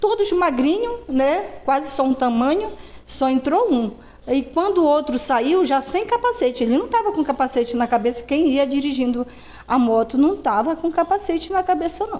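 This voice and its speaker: Speaking at a moderate pace, a woman uses a high pitch that swings very widely. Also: very even loudness. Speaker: robbery victim, business owner. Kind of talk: testimony. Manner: halting. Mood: upset, recounting a robbery. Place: kitchen. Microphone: handheld.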